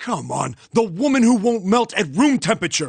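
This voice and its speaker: A man puts on a growling character voice, high-pitched for a man and animated in tone. He speaks at a moderate pace over a quiet background. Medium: game stream. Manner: animated storyteller, eager.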